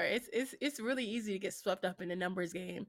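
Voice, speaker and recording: With fairly even intonation, the woman talks in an ordinary speaking voice. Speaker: content creator and streamer. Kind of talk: casual interview chat.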